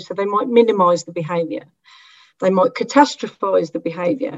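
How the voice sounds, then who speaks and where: A woman with a normal speaking voice at a fairly quick pace. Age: 40s. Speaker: academic researcher. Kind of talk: panel discussion.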